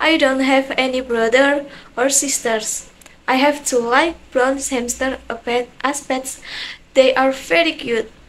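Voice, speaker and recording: A woman with an Indonesian accent speaks in a high voice at a very slow pace. Her intonation is fairly even, broken by long, frequent pauses. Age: young. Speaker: university student. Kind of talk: self-introduction to camera. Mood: cheerful, friendly. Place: home room. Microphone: phone near.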